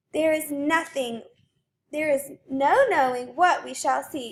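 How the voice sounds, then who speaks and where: Her pace is fairly slow and her pitch high. The woman is doing a put-on character voice. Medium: read story. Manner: loud, excited.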